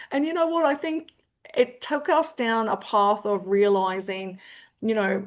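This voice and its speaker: Against a quiet background, a woman with an Australian accent speaks at a moderate pace, her fairly high pitch moving with lively intonation. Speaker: CEO of an aged care support organisation. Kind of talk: interview conversation. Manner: animated, with frequent repetitions and fillers.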